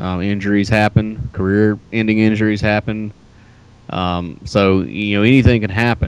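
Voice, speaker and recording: A man with a normal speaking voice talks at a moderate pace, his fairly low pitch held in fairly even intonation. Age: 30s. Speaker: pro wrestler. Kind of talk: interview.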